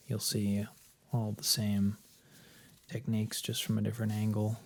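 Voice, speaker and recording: A soft-spoken man talks at a moderate pace in a calm tone and a fairly low pitch. His intonation is fairly even. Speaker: massage ASMR creator. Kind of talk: soft-spoken ASMR massage commentary. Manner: soft-spoken, calm.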